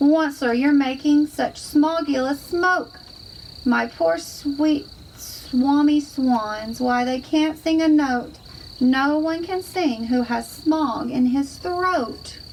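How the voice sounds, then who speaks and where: Using a put-on character voice, a woman speaks very slowly in a high, croaky pitch over light background noise. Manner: coughing, grumpy.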